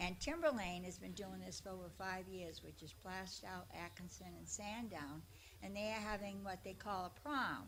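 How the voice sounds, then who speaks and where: Over audible room echo, a woman talks at a moderate pace. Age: 80s+. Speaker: attendee at a public comment session. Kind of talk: public comment. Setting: public meeting. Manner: loud.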